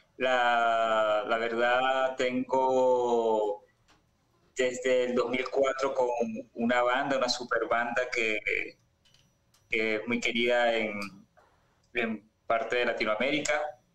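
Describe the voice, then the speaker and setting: A man's medium-pitched voice, monotone and flat, very slow, with very even loudness and long, frequent pauses. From Venezuela. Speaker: musician. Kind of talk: interview. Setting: video call.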